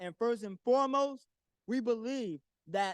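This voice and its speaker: Loud and extremely high-pitched, a man talks at a moderate pace with lively intonation. The sound is dry and close, with no echo. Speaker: community activist, public commenter. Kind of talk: public comment at town hall. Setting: town hall meeting in council chambers.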